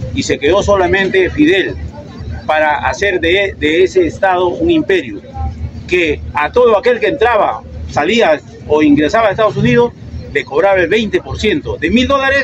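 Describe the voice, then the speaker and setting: A man speaks at a moderate pace in a high voice with very wide pitch swings, over noticeable background noise. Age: 70s. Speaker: debate participant. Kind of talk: street debate. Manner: halting.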